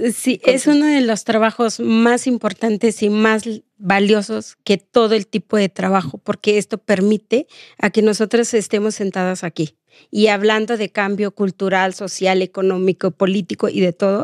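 A woman speaks at a moderate pace with ordinary pitch variation. Her recording is dry with no echo, over a quiet background. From Oaxaca, Mexico. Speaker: domestic workers' rights activist; guest. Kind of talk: interview. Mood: earnest, reflective. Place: studio. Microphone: studio mic.

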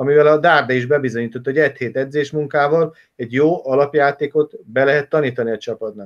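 Against a quiet background, a man talks at a very fast pace with hardly any pauses. His pitch is fairly high and his intonation fairly even. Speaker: football coach and analyst; football coach, analyst. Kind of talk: casual interview chat about football. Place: home room. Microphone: webcam.

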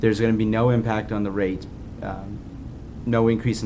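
A man with a fairly low pitch talks at a fairly quick pace in a flat monotone against noticeable background noise. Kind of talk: meeting explanation. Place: meeting room. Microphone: podium.

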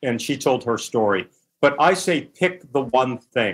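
A man speaks with a plain, everyday voice at a medium pitch. His intonation is lively. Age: 60s. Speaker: author and former magazine publisher. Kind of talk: interview.

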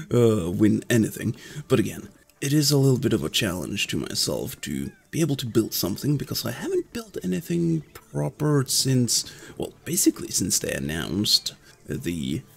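A man at a moderate pace, with very wide swings in pitch. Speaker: gaming youtuber. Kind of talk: gameplay commentary; casual gameplay commentary. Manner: casual, hesitant with fillers. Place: home room.

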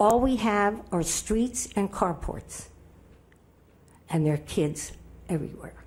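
Speaking at a fairly slow pace, a woman with a fairly low pitch uses lively intonation in a somewhat breathy voice. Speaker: public commenter at city council. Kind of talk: public comment speech. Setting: city council meeting.

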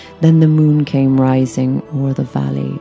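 A woman at a very slow pace, music in the background. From Ireland. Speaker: actress. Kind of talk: poetry reading.

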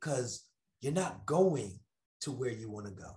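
Against a quiet background, a man talks at a moderate pace in an animated tone, his pitch swinging very widely. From New York. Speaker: motivational speaker. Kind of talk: motivational talk. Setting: video call. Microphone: earbuds.

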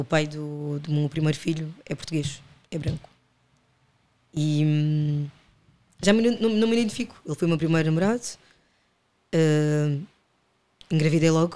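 At a moderate pace, a woman speaks with a very deep, low pitch and ordinary pitch variation. Her tone is dark and mellow, and her pauses are long and frequent. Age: 30s. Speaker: podcast guest. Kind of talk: casual chat.

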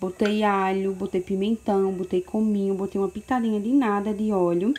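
Noticeable only lightly, some background noise is present. The talking proceeds at a moderate speed. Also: woman. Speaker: home cooking vlogger. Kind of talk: casual cooking tutorial. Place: kitchen. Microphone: phone near.

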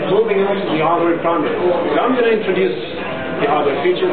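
A man, with music in the background. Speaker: conference speaker. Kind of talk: technical talk. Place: hall. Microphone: camera far.

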